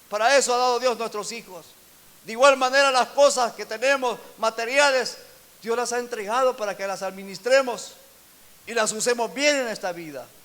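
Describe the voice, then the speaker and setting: This man's voice sits at an extremely high pitch, and his loudness swings a lot. He talks at a moderate pace over noticeable background noise. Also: ordinary pitch variation. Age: 60s. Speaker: pastor. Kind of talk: sermon.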